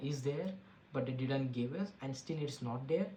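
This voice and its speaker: The speaker has an Indian accent, heard over noticeable background noise. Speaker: tech podcast host. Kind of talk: casual tech commentary. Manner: halting, with frequent fillers and restarts.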